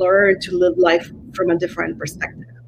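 There is a woman with a medium pitch, and noticeable background noise can be heard behind her. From Mexico (Coahuila). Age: 40s. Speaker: shaman and botanica shop owner. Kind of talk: interview on a live stream. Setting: live stream video call.

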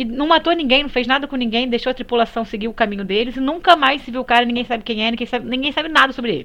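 Against a quiet background, a woman speaks with a high pitch and lively intonation. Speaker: podcast co-host. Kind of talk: casual chat.

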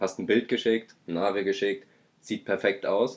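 A man with a fairly low pitch speaks at a moderate pace. It is a normal speaking voice with ordinary pitch variation. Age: 20s. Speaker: podcast co-host. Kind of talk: casual chat.

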